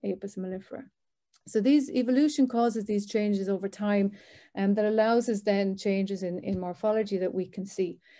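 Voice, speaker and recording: In an Irish accent, a woman speaks at a fairly quick pace with a medium pitch and a dark, mellow tone. Her intonation is fairly even. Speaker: professor. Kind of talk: lecture. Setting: video call. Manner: fast.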